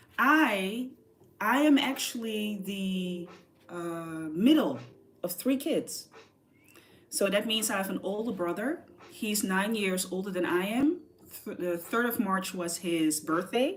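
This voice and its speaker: Speaking with an American accent, a woman has a medium pitch, lively intonation and a somewhat breathy sound. Her pace is very slow, with long, frequent pauses. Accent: American-sounding English. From southern Netherlands. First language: Dutch. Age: 40s. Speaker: artist. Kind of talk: casual livestream chat. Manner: animated.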